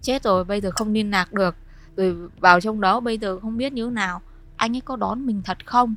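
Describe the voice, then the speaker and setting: A woman with a normal speaking voice talks at a fairly quick pace, her pitch fairly high with ordinary variation. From Vietnam, Hai Phong (northern). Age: 30s. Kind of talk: personal testimony.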